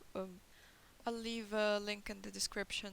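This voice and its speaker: A woman speaks at a moderate pace with a medium pitch, a non-native accent, and monotone, flat intonation. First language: not English. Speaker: concept artist. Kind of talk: tutorial. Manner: hesitant, many fillers. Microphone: poor microphone quality.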